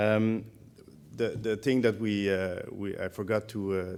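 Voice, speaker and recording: In a Quebec accent, a man with a fairly low pitch speaks in a monotone, flat intonation. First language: French. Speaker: conference organizer. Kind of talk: event announcements. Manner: halting.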